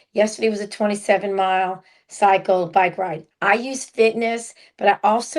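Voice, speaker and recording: Speaking at medium pitch with fairly even intonation, a woman has an ordinary speaking voice. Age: 60s. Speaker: podcast co-host. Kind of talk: casual chat.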